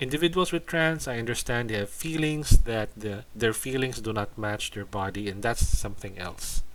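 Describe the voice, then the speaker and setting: Speaking with a Filipino accent, a man uses lively intonation, big swings in loudness and hardly any pauses. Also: medium pitch for a man, moderate pace. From Philippines. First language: Tagalog. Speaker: YouTuber commentator. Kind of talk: casual commentary video. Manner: halting, repeats words.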